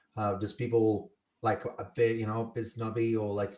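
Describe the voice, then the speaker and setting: On a very clean recording with a silent background, a man speaks at a fairly slow pace and medium pitch. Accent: non-native. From Italy. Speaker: podcast host and bartender. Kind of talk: casual chat. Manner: animated.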